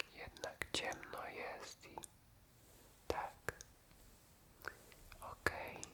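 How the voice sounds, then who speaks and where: A man whispering in a calm tone at a very slow pace, with long, frequent pauses and noticeable background noise. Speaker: ASMR creator. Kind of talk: ASMR roleplay, personal attention. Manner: whispered; soft-spoken, calm, caring.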